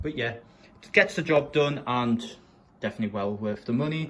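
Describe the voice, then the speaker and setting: A man with a northern English accent and a medium pitch speaks at a moderate pace. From northern England, Sunderland. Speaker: gaming streamer. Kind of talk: room setup tour. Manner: casual.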